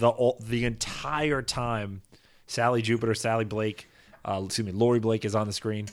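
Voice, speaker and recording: On a very clean recording with a silent background, a normal speaking voice talks at a moderate pace. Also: man. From US Northeast. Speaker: podcast co-host. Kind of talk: casual chat.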